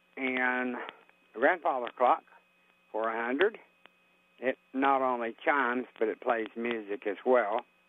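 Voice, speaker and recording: With an Appalachian accent, a man speaks at a fairly slow pace and medium pitch, using ordinary pitch variation and leaving long, frequent pauses. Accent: Appalachian American. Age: old. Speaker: caller. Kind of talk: call-in listing. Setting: phone call. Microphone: popping and crackling phone line.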